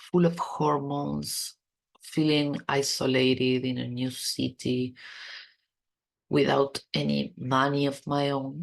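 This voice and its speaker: Speaking at a very slow pace, the voice carries a non-native accent. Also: woman. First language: not English. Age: 40s. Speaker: podcast host. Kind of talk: personal podcast monologue. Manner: stuttering.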